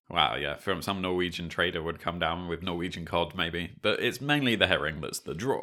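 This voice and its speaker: A normal speaking voice at a fairly quick pace, with lively intonation. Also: man. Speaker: history podcast co-host. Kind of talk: scripted narration.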